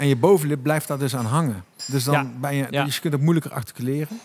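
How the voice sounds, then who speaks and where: Putting on a character voice, a man mumbles at a fairly high pitch with ordinary pitch variation. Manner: mumbling, hard to articulate.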